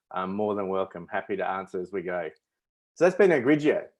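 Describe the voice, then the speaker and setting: A man talks at a fairly quick pace in an Australian accent. The background is quiet. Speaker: winemaker hosting a tasting. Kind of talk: virtual wine tasting presentation. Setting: webinar video stream.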